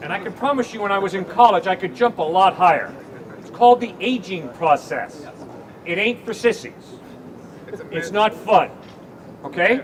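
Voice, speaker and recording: Amid noticeable background noise, a man with a high pitch talks at a moderate pace with lively intonation, big swings in loudness and long, frequent pauses. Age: 60s. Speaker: campus evangelist. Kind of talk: debate. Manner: animated.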